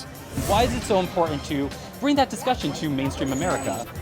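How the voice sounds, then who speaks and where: A man speaks fairly quickly with a fairly high pitch and very wide pitch swings, upbeat and energetic. Music plays behind him. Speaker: news anchor and on-camera reporter. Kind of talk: upbeat event-reporter / interviewer delivery. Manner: upbeat, chatty, energetic.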